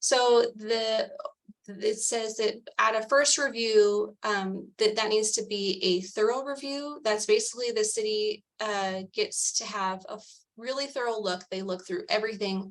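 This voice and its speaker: A woman has an unremarkable speaking voice. She talks fairly slowly with ordinary pitch variation. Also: fairly high pitch for a woman. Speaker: advisory council member presenting recommendation. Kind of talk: policy presentation at public meeting.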